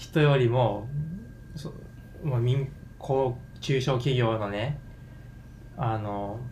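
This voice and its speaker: Amid audible room echo, a man speaks very slowly with long, frequent pauses, his medium-pitched, somewhat breathy voice keeping fairly even intonation. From Japan, Yamaguchi Prefecture. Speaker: podcast guest. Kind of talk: casual discussion.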